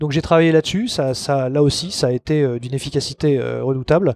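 In an unremarkable speaking voice, a man talks at a moderate pace with a fairly high pitch and ordinary pitch variation, in dry, close sound with no echo. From Paris, France. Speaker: hypnotherapist. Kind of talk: interview conversation.

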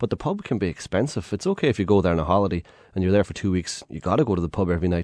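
Talking at a very fast pace in an Irish accent, a man has a very deep, low pitch and a dark, mellow tone, the sound dry and close with no echo over a quiet background. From Ireland. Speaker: tour guide. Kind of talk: radio interview.

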